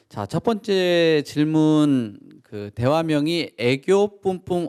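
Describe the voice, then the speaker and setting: A man talks with a fairly high pitch. The sound is dry and close, with no echo. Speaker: event host and moderator. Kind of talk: Q&A moderation, reading audience questions. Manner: self-described poor pronunciation.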